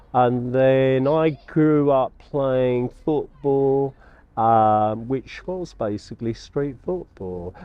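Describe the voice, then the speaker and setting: Speaking very slowly in a London accent, a man keeps to a medium pitch. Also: ordinary pitch variation. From London (Battersea). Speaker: artist. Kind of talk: interview.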